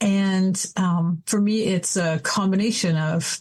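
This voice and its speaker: Her voice is somewhat breathy and medium in pitch. She speaks with a Canadian accent. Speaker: adult educator and coach. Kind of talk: podcast interview.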